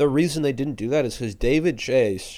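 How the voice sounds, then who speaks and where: A man speaks at a fairly quick pace in a dark, mellow tone, with ordinary pitch variation, on a very clean recording with a silent background. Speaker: comedian and podcaster. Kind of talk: casual podcast chat.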